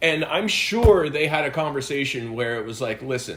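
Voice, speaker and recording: At a moderate pace, a man talks in a normal speaking voice with a fairly high pitch. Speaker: wrestling podcast host. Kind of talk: casual chat.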